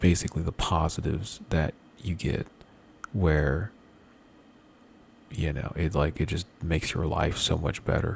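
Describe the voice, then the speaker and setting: A man speaks at a fairly slow pace with very deep, low pitch and vocal fry. His pauses are long and frequent. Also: ordinary pitch variation. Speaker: gamer vlogger. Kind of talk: casual rant. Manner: halting.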